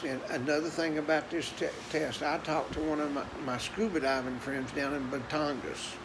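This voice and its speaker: Noticeable background noise and audible room echo surround this recording. A man with a Tennessee accent speaks at a moderate pace in a fairly high voice with fairly even intonation. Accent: Southern US (Tennessee). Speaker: vlogger. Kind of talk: casual monologue.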